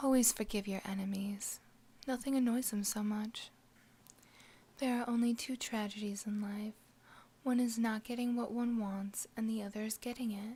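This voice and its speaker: A soft-spoken voice at a moderate pace. Long pauses come often. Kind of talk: ASMR quote reading.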